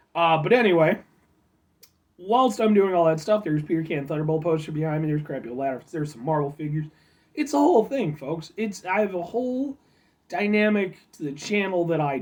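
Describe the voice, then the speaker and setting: A man talks in a high voice at a fairly quick pace. His loudness swings widely. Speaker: food review vlogger. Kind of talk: casual vlog review. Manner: animated.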